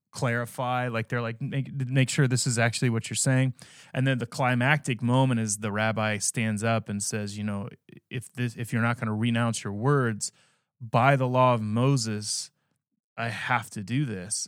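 In a very clean recording with a silent background and a dry, close sound with no echo, a man at medium pitch speaks at a moderate pace. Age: 30s. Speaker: podcast co-host. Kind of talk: casual chat; show outro. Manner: animated.

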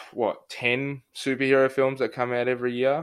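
Speaking with an Australian accent, a man takes a fairly slow pace. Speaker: podcast host. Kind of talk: interview. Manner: casual.

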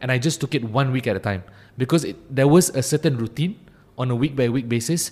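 At a very fast pace, a somewhat breathy voice speaks with ordinary pitch variation on a very clean recording with a silent background. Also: man, medium pitch for a man. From Malaysia, Ampang (Kuala Lumpur area). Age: 20s. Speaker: youth advocacy campaigner. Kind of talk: interview. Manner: frequent fillers and repetitions.

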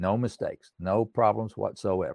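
Man with an Appalachian accent, dry and close with no echo, against a quiet background. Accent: Appalachian Southern US. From East Tennessee (Erwin). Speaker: songwriter and pianist. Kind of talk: interview.

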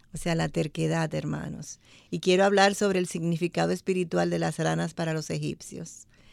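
A woman talks at a moderate pace. Her recording is very clean, with a silent background. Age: 60s. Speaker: church women's ministry member. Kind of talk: radio Bible study discussion. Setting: studio.

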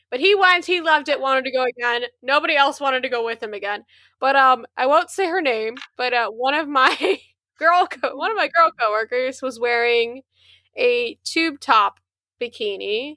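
A raised, projected voice with a bright, sharp tone and lively intonation keeps a moderate pace, captured with a dry, close sound with no echo. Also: woman, high pitch for a woman. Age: 20s. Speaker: podcast co-host. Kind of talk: casual chat. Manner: animated.

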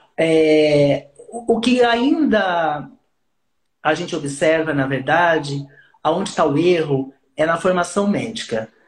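The speaker moves at a very slow pace. The intonation is lively. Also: man, fairly high pitch for a man. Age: 40s. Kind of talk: casual interview chat.

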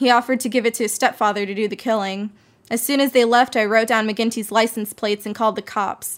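Over a silent background in a very clean recording, a woman speaks in a plain, everyday voice at a fairly quick pace, with fairly high pitch and fairly even intonation. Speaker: former diner waitress, witness. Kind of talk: witness testimony, storytelling.

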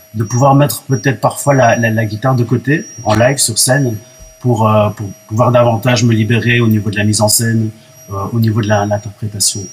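Medium pitch from a man, with fairly even intonation and noticeable background noise. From Belgium. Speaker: singer-songwriter. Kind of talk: radio interview. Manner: hesitant, many fillers.

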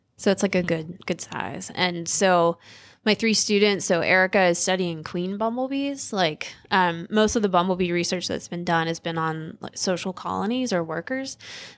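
A woman with an American accent and a plain, everyday voice speaks at medium pitch and a moderate pace, with ordinary pitch variation and hardly any pauses, on a very clean recording with a silent background. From coastal North Carolina, US South. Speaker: professor, bee biologist. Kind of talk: interview.

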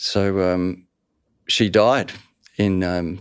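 Monotone and flat in intonation, a man talks with an Australian accent. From Australia, Melbourne. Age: 60s. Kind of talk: personal testimony interview.

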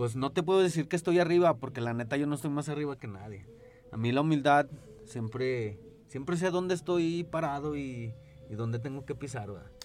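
A man with a fairly high pitch and a normal speaking voice talks at a fairly quick pace with ordinary pitch variation. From Zacatecas, Mexico. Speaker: DJ and music producer. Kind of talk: casual chat.

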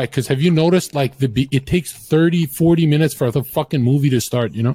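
A man speaks at a fairly quick pace and fairly high pitch with ordinary pitch variation. His tone is dark and mellow, and somewhat breathy. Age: 20s. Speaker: streamer. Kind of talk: casual chat.

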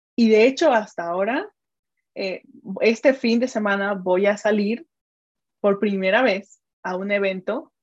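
A woman speaks in a Mexican accent at a fairly slow pace. She leaves long, frequent pauses. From Mexico. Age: 30s. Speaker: digital strategist and business mentor. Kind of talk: interview conversation.

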